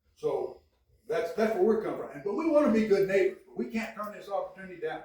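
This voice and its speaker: A man with an American accent at a very fast pace, high-pitched, with lively intonation, big swings in loudness and audible room echo. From Kansas, Mulberry. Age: 70s. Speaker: city council member. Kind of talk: public meeting debate. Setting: city council meeting. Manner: animated.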